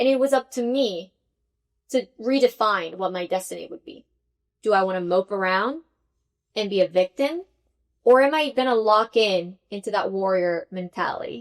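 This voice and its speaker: At a moderate pace and fairly high pitch, a woman speaks with lively intonation, big swings in loudness and long, frequent pauses, the sound dry and close with no echo. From Venezuela, Caracas. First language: Spanish. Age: 30s. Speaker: tech executive. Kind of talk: podcast interview.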